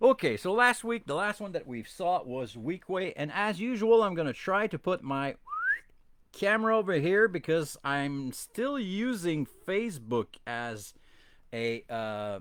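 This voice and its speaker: A man with a Quebec accent speaks at a high pitch, with very wide pitch swings. Background noise is noticeable. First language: French. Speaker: toy collecting podcast host. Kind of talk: casual bilingual live-stream chat. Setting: live stream on camera. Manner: halting, many fillers.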